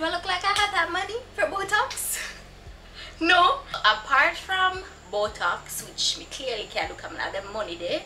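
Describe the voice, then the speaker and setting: A woman speaks at an extremely high pitch, her voice swinging very widely in pitch and lurching between loud and soft. Noticeable background noise runs under her. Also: moderate pace. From Jamaica. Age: 20s. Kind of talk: casual talk to camera.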